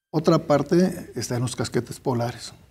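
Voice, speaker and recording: A man with a fairly high pitch speaks at a moderate pace with lively intonation. His tone is dark and mellow, somewhat breathy. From Guadalajara, Jalisco, Mexico. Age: 60s. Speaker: engineer and academic researcher; guest. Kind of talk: interview. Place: studio.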